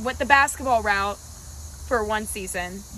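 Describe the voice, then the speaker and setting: A woman with an American accent talks at a fairly slow pace with a fairly high pitch. Her tone is bright and sharp, touched with vocal fry. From North Carolina, Wake Forest near Raleigh. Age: 20s. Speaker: college cheerleader. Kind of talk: casual interview chat.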